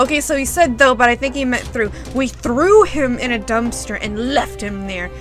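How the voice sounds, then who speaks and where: Music plays in the background as a woman speaks. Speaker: fanfiction reader. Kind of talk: comedic fanfiction reading with commentary. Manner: casual, sarcastic.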